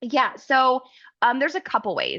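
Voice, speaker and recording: A woman with an Oklahoma accent speaks at a moderate pace in a bright, sharp tone. The background is quiet. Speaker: travel advisor and software account manager; software trainer. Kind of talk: webinar tutorial. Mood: friendly, enthusiastic.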